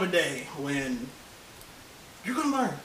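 Someone speaks in a raised, projected voice over noticeable background noise. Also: man. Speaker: co-host. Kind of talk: casual chat.

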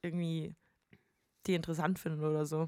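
Her fairly low pitch stands out as this woman speaks at a fairly quick pace. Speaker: podcast host and musician. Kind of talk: casual chat.

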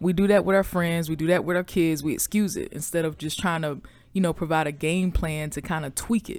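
Fairly quick pace and fairly even intonation from a woman with a fairly low pitch and an unremarkable speaking voice, on a very clean recording with a silent background. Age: 30s. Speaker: podcast host. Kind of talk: casual monologue.

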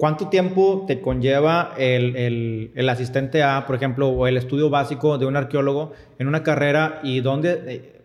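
Using an ordinary speaking voice, a man talks at a moderate pace and fairly high pitch with ordinary pitch variation. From Monterrey, northern Mexico. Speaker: podcast host. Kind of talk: interview.

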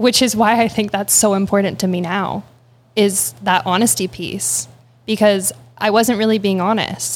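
In a Canadian accent, a woman speaks at a moderate pace with a medium pitch, lively intonation and vocal fry. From Ontario, Canada (Guelph). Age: young. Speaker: barista and meditation coach. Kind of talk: interview conversation. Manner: calm.

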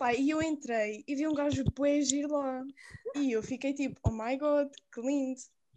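This woman has a high pitch, ordinary pitch variation and a dark, mellow tone. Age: 20s. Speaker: university student. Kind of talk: casual chat.

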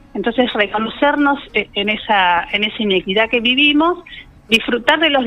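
A woman's fairly high voice at a moderate pace, full of very wide pitch swings. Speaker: feminist activist. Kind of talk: radio interview.

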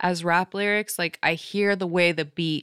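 A woman with a fairly low pitch uses a normal speaking voice and fairly even intonation, the sound dry and close with no echo. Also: very clean recording, silent background. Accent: American. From Las Vegas, US. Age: 30s. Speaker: stand-up comedian. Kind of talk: casual chat.

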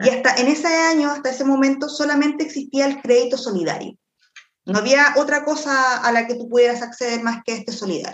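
A woman talks at a fairly quick pace in a high voice. Her pitch varies in an ordinary way. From Chile, Quilpué. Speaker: lawyer. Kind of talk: expert interview.

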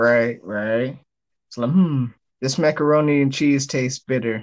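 Fairly even in intonation, a man of medium pitch talks at a fairly slow pace. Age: 20s. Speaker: podcast guest. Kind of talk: casual chat.

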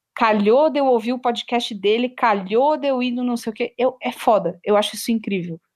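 A woman talks in an ordinary speaking voice at a moderate pace. Her pitch shows ordinary variation against a quiet background. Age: 20s. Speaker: podcast producer. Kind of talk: interview conversation.

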